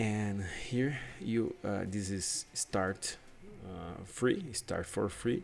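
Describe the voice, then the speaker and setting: With a Brazilian Portuguese accent, a man speaks at a very slow pace. His voice is fairly low, with ordinary pitch variation. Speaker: UX/UI designer. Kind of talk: tutorial. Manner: halting; casual.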